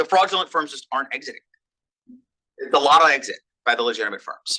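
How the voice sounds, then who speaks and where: This man talks at a very fast pace, his loudness swinging widely. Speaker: economist, business school professor. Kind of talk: research seminar talk with questions.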